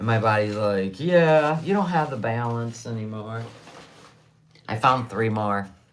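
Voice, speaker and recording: A woman speaks at a fairly slow pace with a very deep, low pitch, lively intonation and an animated tone, with audible room echo. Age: 60s. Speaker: livestreamer selling handmade tumblers. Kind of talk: casual livestream chat.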